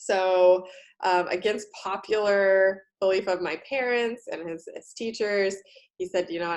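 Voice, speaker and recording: A woman with an American accent and a normal speaking voice talks at a moderate pace and medium pitch with fairly even intonation. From United States. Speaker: career coach and college instructor. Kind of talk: talk to university students.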